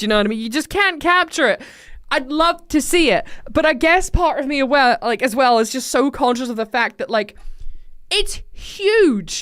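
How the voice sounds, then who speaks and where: With very wide pitch swings and a high pitch, a woman speaks at a moderate pace on a very clean recording with a silent background. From Scotland. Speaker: live streamer, gamer. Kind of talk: casual chat during a live game stream. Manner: casual, chatty, with lots of fillers.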